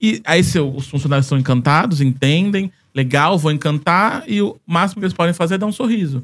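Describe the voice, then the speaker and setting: A man with a high pitch speaks at a fairly quick pace with lively intonation, hardly any pauses and very even loudness. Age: 30s. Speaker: Disney travel content creator. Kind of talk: casual chat.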